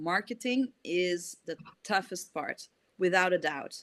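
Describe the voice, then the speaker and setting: This woman's medium-pitched voice has a bright, sharp tone and lively intonation. She speaks at a very slow pace. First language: not English. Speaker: indie author. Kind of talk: casual chat. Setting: video call.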